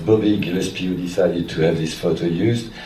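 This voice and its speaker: A man with a French accent is heard with audible room echo and noticeable background noise. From France. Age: 60s. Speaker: music photographer. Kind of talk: public Q&A conversation.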